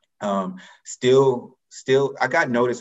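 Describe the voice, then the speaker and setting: With music playing in the background, a man speaks in an American accent. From US South, Atlanta, Georgia. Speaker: college athletics eligibility official. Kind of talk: interview.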